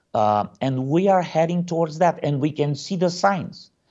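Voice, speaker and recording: Lively intonation marks a man's speech. He talks at a fairly slow pace with a Romanian accent. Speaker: pastor. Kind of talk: interview. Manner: hesitant, many fillers.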